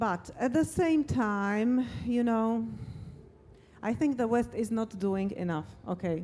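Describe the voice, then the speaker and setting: Speaking very slowly with long, frequent pauses, a woman has a fairly high pitch, a dark, mellow tone, and a Slovak accent. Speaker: interviewer. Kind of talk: interview. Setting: stage with audience.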